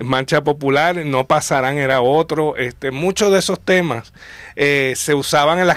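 In a plain, everyday voice, a man with a fairly high pitch speaks at a moderate pace with fairly even intonation and very even loudness, over a quiet background with a dry sound and no echo. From Puerto Rico. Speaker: popular culture historian. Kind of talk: casual chat. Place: studio.

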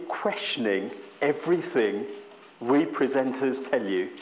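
Light background noise behind a man's voice. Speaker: guest lecturer. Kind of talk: lecture. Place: classroom.

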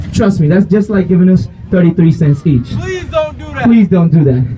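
Over light background noise, a man talks at a moderate pace in a playful tone with lively intonation. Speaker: street performer. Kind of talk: street show crowd-work hype pitch. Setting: outdoors, street crowd. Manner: loud, playful joking with crowd, laughing. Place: street.

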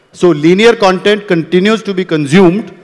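A man's high-pitched voice at a moderate pace with ordinary pitch variation

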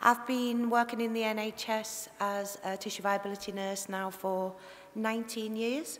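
In a Liverpool accent, a woman talks with monotone, flat intonation over light background noise. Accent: Scouse (Liverpool). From Liverpool area. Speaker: tissue viability nurse giving a conference talk. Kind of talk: conference talk. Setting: stage, presentation to an audience. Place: hall. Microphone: headset.

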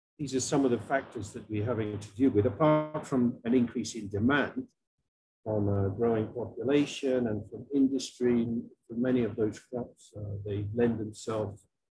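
Music plays in the background as a man speaks. His pace is moderate and his intonation fairly even. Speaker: presenter. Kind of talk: lecture. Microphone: webcam.

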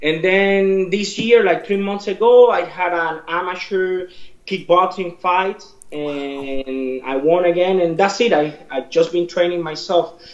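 A man with a high voice speaks fairly slowly and with few pauses, using ordinary pitch variation, and the room echo is audible.

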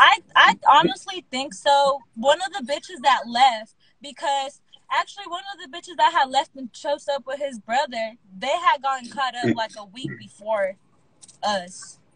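Using a raised, projected voice with an American accent, a woman speaks at a high pitch and a moderate pace, with lively intonation and big swings in loudness. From Texas. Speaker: former sex worker telling stories. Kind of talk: casual live-stream chat, storytelling. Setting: Instagram live video call.

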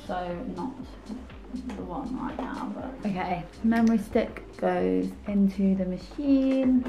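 The speaker's pitch varies in an ordinary way, with music in the background. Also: woman. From UK. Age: 20s. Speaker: small business owner. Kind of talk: casual talk to camera. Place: home room. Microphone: camera far.

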